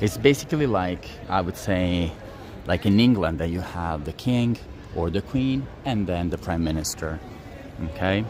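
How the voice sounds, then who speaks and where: A man with an Italian accent and a very deep, low pitch speaks at a moderate pace with lively intonation. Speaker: tour guide. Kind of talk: live-streamed walking tour. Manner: hesitant, many fillers.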